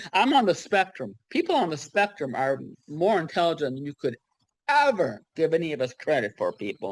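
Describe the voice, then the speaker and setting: Using an American accent, a woman at a moderate pace speaks in a fairly low pitch with very wide pitch swings and vocal fry. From US, San Diego, California. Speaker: writer in a writing group. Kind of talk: casual group video chat. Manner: halting, repeats words; animated.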